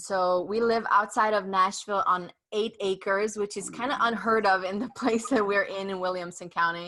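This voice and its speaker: A woman with a bright, sharp tone speaks at a moderate pace with fairly even intonation and hardly any pauses. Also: medium pitch for a woman. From Romania (ethnic Hungarian). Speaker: podcast host and author. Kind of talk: interview.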